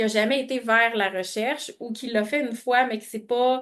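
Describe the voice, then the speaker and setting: Over a quiet background, a woman with a Quebec accent speaks at a fairly high pitch. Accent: Québécois French. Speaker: webinar presenter. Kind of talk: webinar presentation with Q&A. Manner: halting, many fillers and repetitions.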